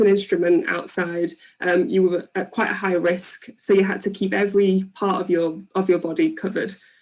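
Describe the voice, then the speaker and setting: At a moderate pace, a woman speaks at a medium pitch in an English accent. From England. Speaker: PhD researcher. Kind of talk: public science talk. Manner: hesitant with many ums.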